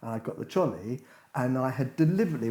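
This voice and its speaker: Speaking at a very fast pace with an English accent, the voice has a dark, mellow tone and lively intonation. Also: man. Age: 60s. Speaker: podcast co-host, retiree. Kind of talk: casual chat. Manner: animated.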